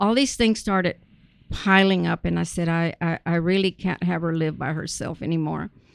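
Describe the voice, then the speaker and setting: A woman talks at a fairly quick pace in a South Texas accent. Her pitch is fairly low, with ordinary variation. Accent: South Texas Mexican-American English. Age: 70s. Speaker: retired educator. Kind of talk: casual interview.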